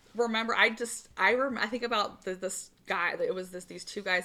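Fairly quick and bright, a woman with an American accent speaks in a sharp tone with fairly even intonation. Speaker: podcast co-host. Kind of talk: casual chat. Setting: in-person recording. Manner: fast, talks over others.

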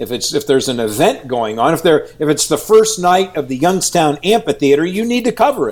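With a Midwestern American accent, a man talks at a fairly quick pace with hardly any pauses. His high pitch swings very widely. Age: 60s. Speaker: TV news anchor and reporter. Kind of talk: interview.

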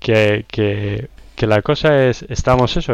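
Here a man talks at a very slow pace. His voice sits at a medium pitch. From Spain, La Roda, Albacete (Castilla-La Mancha). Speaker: software consultant. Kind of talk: casual interview.

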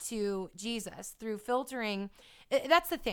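A woman with an unremarkable speaking voice, lively intonation, and a fairly slow pace on a very clean recording with a silent background. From California. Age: 20s. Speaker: fitness trainer and YouTuber. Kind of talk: interview.

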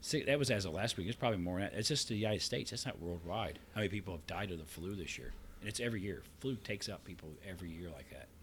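Somewhat breathy and fairly low, a man's voice rushes at a very fast pace with lively intonation. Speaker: podcast co-host. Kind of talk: casual chat.

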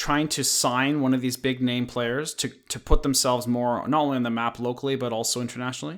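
This man has an ordinary speaking voice at medium pitch. He keeps a moderate pace with fairly even intonation. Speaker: podcast co-host. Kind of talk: casual chat. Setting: remote call.

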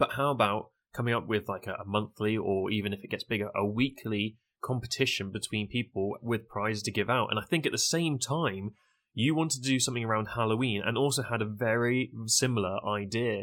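On a very clean recording with a silent background, a man uses an ordinary speaking voice at a medium pitch, moving at a fairly quick pace with ordinary pitch variation. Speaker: Twitch streamer, event co-organizer. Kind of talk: casual podcast chat.

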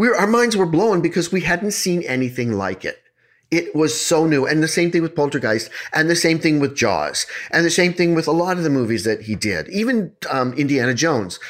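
In a normal speaking voice, a man talks at a fairly quick pace with a fairly high pitch and lively intonation. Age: 50s. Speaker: podcast host, storyteller. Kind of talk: casual chat with storytelling. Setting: remote recording over internet.

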